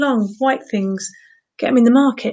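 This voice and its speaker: With an English accent, a woman speaks in a high voice that rises and falls in an ordinary way against a quiet background. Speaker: vegetable-themed entertainer. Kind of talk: casual live-streamed chat. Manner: animated.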